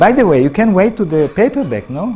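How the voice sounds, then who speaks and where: A man speaks with an Israeli accent while music plays in the background. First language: not English. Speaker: professor and author. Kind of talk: public lecture. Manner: halting.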